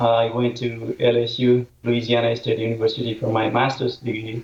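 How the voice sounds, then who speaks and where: Over noticeable background noise, a man speaks in a flat monotone at a medium pitch and a moderate pace. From Nepal. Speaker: professor. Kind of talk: interview. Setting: video call.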